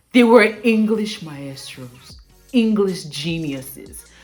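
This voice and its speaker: A woman's medium-pitched voice with lively intonation, music in the background. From Nigeria, Edo State (Benin). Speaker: aspiring broadcaster, accent coach vlogger. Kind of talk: vlog talk to camera. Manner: clear careful enunciation.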